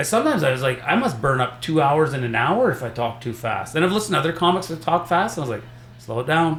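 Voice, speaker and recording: Over noticeable background noise, a man rushes along at a very fast pace with a fairly high voice and lively intonation. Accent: Canadian. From Saskatchewan, Canada. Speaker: stand-up comedian. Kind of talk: casual chat.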